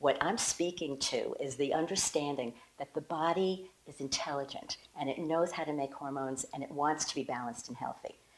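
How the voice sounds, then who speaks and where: A woman with a very deep, low pitch, ordinary pitch variation and a fairly quick pace, amid noticeable background noise. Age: 60s. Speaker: women's health coach. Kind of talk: promotional talk to camera. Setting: home kitchen. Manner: enthusiastic.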